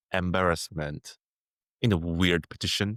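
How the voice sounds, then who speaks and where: Over a very clean recording with a silent background, a man with a Korean accent speaks at a very deep, low pitch in a dry, close sound with no echo. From South Korea. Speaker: filmmaker. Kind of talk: casual chat. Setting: podcast interview. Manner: halting, many fillers.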